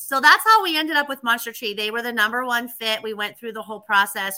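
Here a woman talks with an American accent and ordinary pitch variation. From western Pennsylvania. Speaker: tree service franchise owner. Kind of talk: interview.

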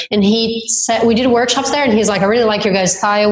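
A woman speaks with a Brazilian accent and fairly even intonation. Noticeable background noise sits behind her. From southern Brazil. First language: Portuguese. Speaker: dance instructor and event organizer. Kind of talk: interview. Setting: remote call.

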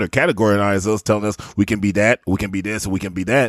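This is an ordinary speaking voice from a man, fairly low in pitch and at a fairly quick pace. The sound is dry and close, with no echo. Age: 40s. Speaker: podcast host. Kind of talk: casual chat. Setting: video call.

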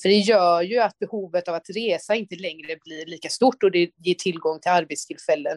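A woman talks at a fairly quick pace in a plain, everyday voice, pitched fairly low, with ordinary pitch variation and a dry, close sound with no echo. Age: 30s. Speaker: politician. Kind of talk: interview. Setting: remote link.

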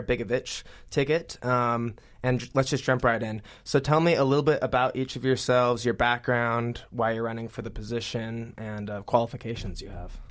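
Delivered at a moderate pace, an unremarkable speaking voice keeps its intonation fairly even. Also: man. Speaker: podcast host. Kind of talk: interview.

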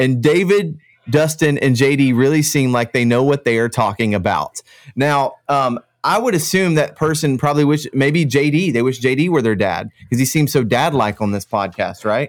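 The recording is very clean, with a silent background. A man with an American accent talks with lively intonation. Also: fairly high pitch for a man, moderate pace, very even loudness. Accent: slight Kentucky draw over Central Florida. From Central Florida. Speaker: podcast host. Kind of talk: casual chat.

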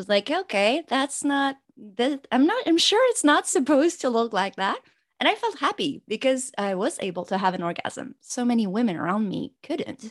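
A woman speaks in a high pitch with very wide pitch swings and big swings in loudness. There are hardly any pauses, and the sound is dry and close with no echo. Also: moderate pace. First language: French. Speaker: pleasure coach and doctor. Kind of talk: interview, podcast conversation. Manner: stressed, halting English.

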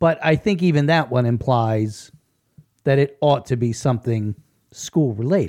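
At a moderate pace, a man talks in a plain, everyday voice with very even loudness. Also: medium pitch for a man, lively intonation. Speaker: local news podcast host and writer. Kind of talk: casual chat.

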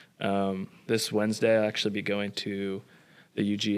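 A man with an American accent has an ordinary speaking voice, pitched fairly low, with fairly even intonation. The recording is very clean, with a silent background. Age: 20s. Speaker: stand-in podcast host. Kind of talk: casual chat.

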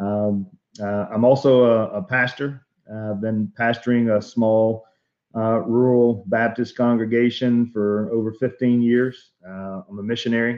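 A man with an Alabama accent speaks at a medium pitch with fairly even intonation. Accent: Southern US (Alabama). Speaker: pastor and technology evangelist. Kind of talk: interview. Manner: halting.

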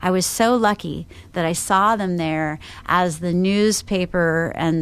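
A woman talks at a fairly low pitch with fairly even intonation. Audible room echo surrounds her voice. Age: 40s. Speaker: marketing agency owner. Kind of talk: rant. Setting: industry conference.

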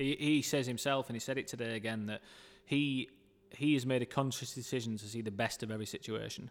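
In a very clean recording with a silent background, a man with a Yorkshire accent races along at a very fast pace, his medium pitch holding fairly even intonation. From northern England, Dewsbury, West Yorkshire. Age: 30s. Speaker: football club marketing director. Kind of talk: casual interview.

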